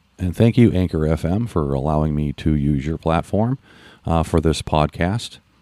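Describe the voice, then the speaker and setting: The recording is very clean, with a silent background and a dry, close sound with no echo. A man talks at a moderate pace with lively intonation. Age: 50s. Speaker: podcast host. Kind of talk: unscripted solo monologue. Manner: halting, many fillers.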